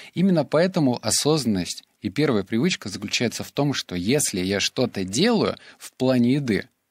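Very wide pitch swings mark a man's medium-pitched speech at a moderate pace, recorded dry and close with no echo in a very clean recording with a silent background. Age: 20s. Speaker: podcaster and blogger. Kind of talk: solo podcast monologue.

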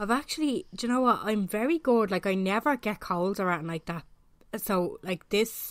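Speaking at a moderate pace with an Irish accent, a woman uses ordinary pitch variation in a very clean recording with a silent background. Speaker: podcast host. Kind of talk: casual chat.

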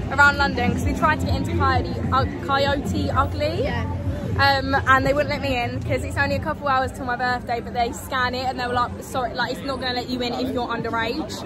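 Over crowd noise, a woman talks at a fairly quick pace, and the sound is dry, with no echo. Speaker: vlogger. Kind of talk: casual vlog chat. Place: street. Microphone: phone near.

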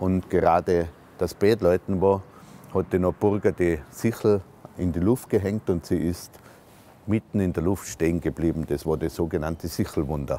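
The tone is dark and mellow, with fairly even intonation. Light background noise sits under a dry sound with no echo. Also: man, very deep, low pitch for a man, moderate pace. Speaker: local guide or historian. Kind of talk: documentary explanation to camera. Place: street.

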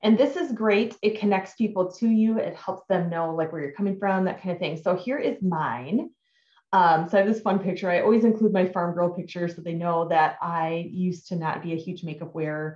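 A woman at a fairly quick pace, with audible room echo over a quiet background. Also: ordinary pitch variation. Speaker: direct sales team leader. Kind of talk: tutorial. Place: home room. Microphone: webcam.

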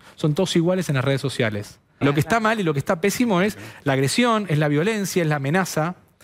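A man talks at a very fast pace with a fairly high pitch. His intonation is lively, and the background is quiet. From Argentina. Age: 40s. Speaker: political digital strategist; guest. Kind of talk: TV interview; TV panel debate answer. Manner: halting, many repetitions. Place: studio. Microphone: headset.

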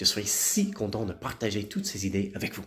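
The man's voice has a warm tone and is somewhat breathy. His intonation is lively and his pace moderate. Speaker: motivational speaker and author. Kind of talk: promotional pep talk. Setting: video message to followers, informal. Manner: enthusiastic, upbeat, animated; repeats words for emphasis, warm and friendly. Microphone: phone near.

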